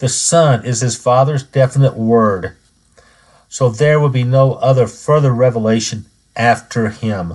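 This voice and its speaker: At a fairly slow pace, a man talks in a somewhat breathy voice of medium pitch with ordinary pitch variation. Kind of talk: scripted religious teaching. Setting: podcast recording. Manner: formal.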